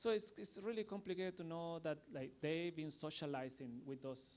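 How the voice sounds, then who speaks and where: Pitched fairly high, a man talks with a non-native accent. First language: not English. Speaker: artist and art school program director. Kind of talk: panel discussion. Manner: halting.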